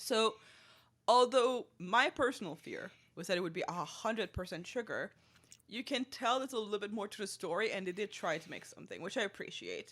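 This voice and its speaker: A woman with a fairly high voice talks fairly quickly with lively intonation and big swings in loudness. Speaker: food podcast co-host. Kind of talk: casual chat.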